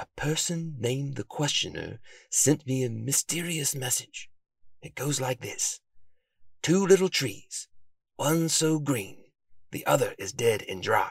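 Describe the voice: A man puts on a character voice at a medium pitch, speaking slowly with lively intonation, vocal fry and a slightly husky edge.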